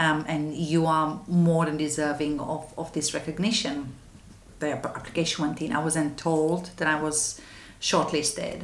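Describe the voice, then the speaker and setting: In a Romanian accent, a woman talks at a fairly slow pace with a very deep, low pitch and monotone, flat intonation, her voice carrying audible room echo. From Romania, west. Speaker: anti-trafficking charity manager. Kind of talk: interview. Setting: office. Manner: halting.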